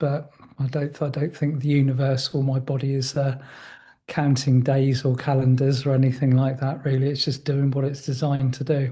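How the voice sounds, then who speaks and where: A man speaks at a moderate pace with a fairly high pitch and a dark, mellow tone, somewhat breathy. His intonation is monotone and flat, against a quiet background. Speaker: spiritual teacher. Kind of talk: casual conversation.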